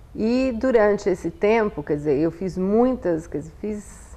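Speaking fairly slowly, a woman has a dark, mellow tone and ordinary pitch variation. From Brazil, São Paulo city. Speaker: anthropologist; interviewee. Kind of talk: interview. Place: home room. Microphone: lapel.

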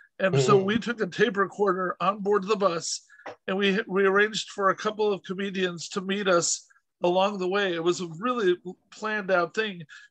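A man with a high voice and fairly even intonation at a fairly quick pace, against a quiet background. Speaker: podcast host interviewer. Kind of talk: casual interview storytelling. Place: home room. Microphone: video call.

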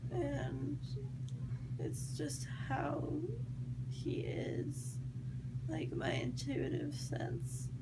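Loud background noise runs through the clip. A woman talks very slowly over it. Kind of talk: casual rambling chat. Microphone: phone near.

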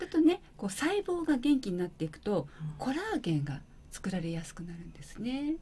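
A woman speaks at a fairly quick pace. Her pitch swings very widely and her loudness rises and falls in big swings. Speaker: beauty salon owner; guest. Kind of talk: interview. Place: studio. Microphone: studio mic.

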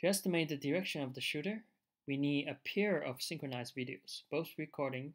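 Speaking at a moderate pace, a man with a fairly high pitch is heard on a very clean recording with a silent background. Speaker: researcher. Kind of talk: technical demo narration over slides.

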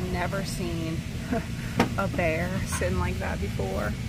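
Over music in the background, a woman speaks at a fairly slow pace. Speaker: thrift reseller vlogger. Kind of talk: casual vlog chat. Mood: excited, delighted. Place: shop. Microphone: phone near.

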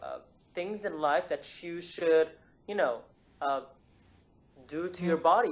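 A man speaks at a moderate pace in a high voice. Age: 20s. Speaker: engineer and healthy-living author. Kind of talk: interview. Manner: halting, many fillers. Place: home room. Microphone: video call.

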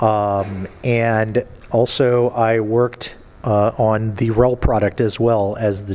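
The man's intonation stays fairly even as he speaks. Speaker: conference presenter. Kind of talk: conference talk. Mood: light, joking. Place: hall. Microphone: podium.

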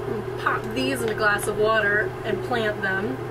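A woman speaks with music in the background. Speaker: vlogger. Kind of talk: casual vlog chat. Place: boat. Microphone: camera far.

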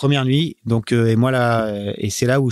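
The man's voice sits at a medium pitch. Its intonation holds fairly even. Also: dry, close sound with no echo. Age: 40s. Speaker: offshore sailing skipper. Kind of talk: interview. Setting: team premises. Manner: halting.

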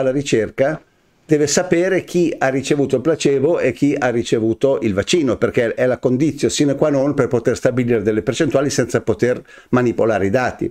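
Over a quiet background, the voice has a dark, mellow tone and ordinary pitch variation. It moves at a fairly quick pace. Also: man. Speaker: news commentary host. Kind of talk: weekly news commentary. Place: studio.

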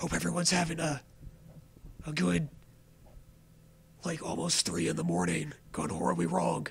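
A man whispers at a moderate pace, leaving long, frequent pauses. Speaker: gaming streamer. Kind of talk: casual live stream chat. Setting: home, late night live stream. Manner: whispering, awkward.

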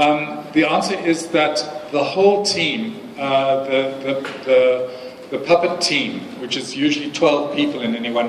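Over light background noise and audible room echo, the speaker moves at a moderate pace with ordinary pitch variation. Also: man. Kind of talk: press event answer. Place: hall. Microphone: camera far.

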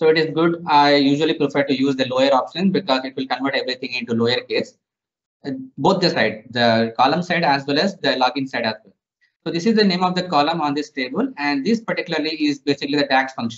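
A man speaks at a very fast pace with ordinary pitch variation. The background is quiet. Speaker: software trainer. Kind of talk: tutorial.

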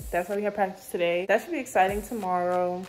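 A woman is heard with faint music in the background. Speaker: student vlogger. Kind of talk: casual vlog chat. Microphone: phone near.

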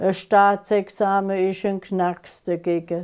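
A woman at a very slow pace, dark and mellow in tone, against a quiet background. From Germany, Konstanz on Lake Constance; Germany. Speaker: dialect author; dialect poet. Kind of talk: dialect poetry reading.

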